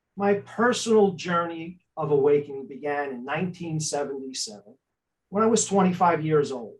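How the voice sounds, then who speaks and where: Speaking at a moderate pace with lively intonation, a man with an American accent uses a fairly high pitch. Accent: thick Italian-New York City. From New York City, Staten Island. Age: 60s. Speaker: spiritual life coach. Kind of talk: interview.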